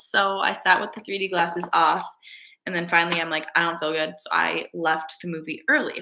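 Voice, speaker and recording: Here is an ordinary speaking voice, a woman's, fairly low in pitch. She moves at a fairly quick pace with ordinary pitch variation. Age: 20s. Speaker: lifestyle vlogger and CT/MRI technologist. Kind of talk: casual chat. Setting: live stream.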